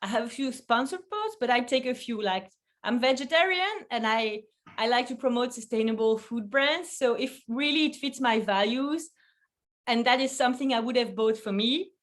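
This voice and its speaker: A woman's high-pitched voice with a French accent, ordinary pitch variation and a moderate pace. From Belgium. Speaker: food photographer. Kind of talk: interview. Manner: halting.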